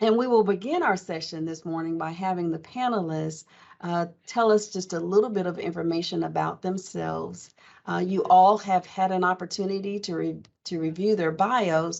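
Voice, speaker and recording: A woman with an American accent has a plain, everyday voice at medium pitch. She keeps a moderate pace and fairly even intonation. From Oklahoma. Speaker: panel moderator, college diversity officer. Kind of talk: panel moderation. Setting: video call.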